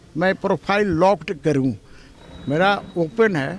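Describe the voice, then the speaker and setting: There is noticeable background noise as a man talks at a high pitch with lively intonation. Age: 60s. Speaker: politician. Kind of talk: press interview.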